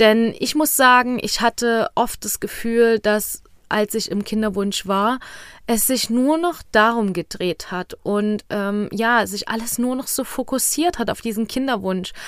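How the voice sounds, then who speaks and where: In a very clean recording with a silent background, a woman speaks in a plain, everyday voice, fairly high in pitch with ordinary pitch variation. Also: fairly slow pace. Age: 20s. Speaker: fertility coach and podcast host. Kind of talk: solo podcast monologue.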